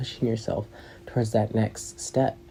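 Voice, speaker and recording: Fairly even in intonation, a man speaks in a fairly low, dark, mellow voice with vocal fry. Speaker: podcast host. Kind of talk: casual monologue. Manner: fast.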